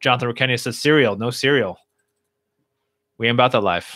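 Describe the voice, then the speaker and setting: Very clean with a silent background, this dry, close recording with no echo has a man at medium pitch using a bright, sharp tone, ordinary pitch variation and a fairly quick pace. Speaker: livestream host and speaker. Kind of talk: casual livestream Q&A. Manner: mellow, low energy.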